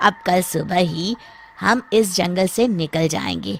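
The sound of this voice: Doing a cartoonish character voice, a man speaks slowly at a high pitch, with a fairly bright tone and lively intonation.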